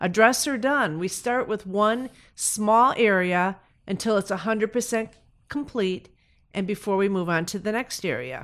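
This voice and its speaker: In a normal speaking voice, a woman with a fairly high pitch talks at a fairly slow pace with lively intonation on a very clean recording with a silent background. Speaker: senior mover. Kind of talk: interview conversation.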